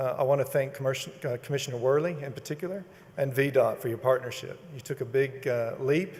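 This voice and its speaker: A man with a Texas accent, fairly high-pitched, very fast, with fairly even intonation. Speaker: toll road company executive. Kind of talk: ceremony speech. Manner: halting.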